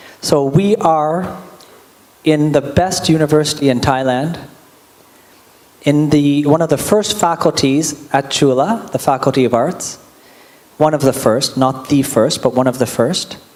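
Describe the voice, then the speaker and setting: A man with a Canadian accent speaks fairly slowly, with long, frequent pauses, fairly high pitch, ordinary pitch variation and very even loudness. Noticeable background noise runs under the recording. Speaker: diplomat introducing a speaker. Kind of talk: introductory remarks at a public lecture. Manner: casual, joking.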